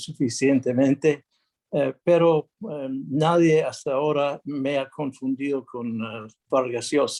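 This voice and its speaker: A man speaks with a non-native accent. His pitch is fairly high and his pace very slow. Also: dry, close sound with no echo. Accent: non-native Spanish speaker. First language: English (speaking Spanish). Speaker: international arbitrator, lawyer. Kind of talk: conference talk. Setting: video call, no camera. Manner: halting, many fillers.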